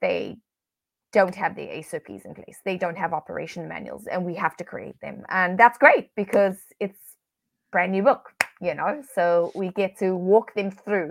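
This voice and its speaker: A woman speaks at a moderate pace. Her loudness swings widely. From South Africa. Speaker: business coach, virtual assistant business owner. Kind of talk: interview. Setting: video call.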